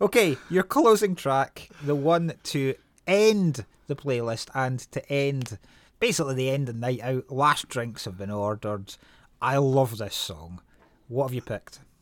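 A man's medium-pitched voice with a Scottish accent, very wide pitch swings, and a fairly slow pace on a very clean recording with a silent background. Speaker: podcast host. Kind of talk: casual chat.

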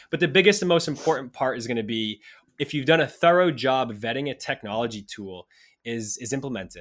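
A man with a normal speaking voice, medium pitch, lively intonation and a fairly quick pace, big swings in loudness, on a very clean recording with a silent background. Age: 30s. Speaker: insurance tech company founder and CEO. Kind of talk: interview.

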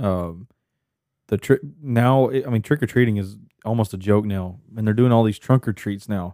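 A man's fairly low, dark, mellow voice with an American accent at a moderate pace. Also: ordinary pitch variation, very clean recording, silent background. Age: 20s. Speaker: podcast host. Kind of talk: casual chat.

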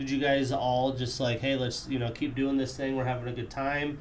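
A man's medium-pitched voice at a fairly quick pace, monotone and flat, with audible room echo. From Wyoming. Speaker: podcast host. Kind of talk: casual interview.

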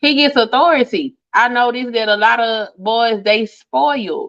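Here a woman has an ordinary speaking voice, fairly high in pitch. She talks at a moderate pace with lively intonation. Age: 40s. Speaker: YouTuber and hoodoo practitioner. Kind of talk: casual chat.

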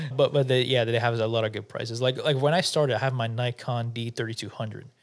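Here is a man with an unremarkable speaking voice, a medium pitch, and ordinary pitch variation. The recording is very clean, with a silent background. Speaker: podcast co-host, photographer and content creator. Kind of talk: casual chat. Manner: casual, joking.

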